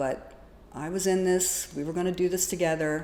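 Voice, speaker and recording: A woman's voice carries noticeable echo from the room. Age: 60s. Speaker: domestic abuse survivor. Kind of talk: testimony.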